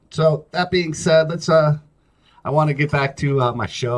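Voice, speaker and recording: A man is speaking. His voice is somewhat breathy. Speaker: talk show host. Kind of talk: casual solo talk show monologue. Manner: slow, not very clean delivery; halting, many fillers.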